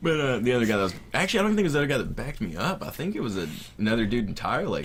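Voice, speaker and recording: Very wide pitch swings mark this very fast delivery with a slight Southern US accent, heard with audible room echo. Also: man, medium pitch for a man. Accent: Southern US accent, mild. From US South. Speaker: gamer. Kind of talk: casual chat.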